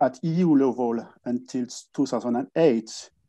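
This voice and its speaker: Speaking in a French accent, a man uses a dark, mellow tone and ordinary pitch variation. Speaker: wine industry association director. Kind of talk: conference presentation. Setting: online conference. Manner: halting with frequent fillers.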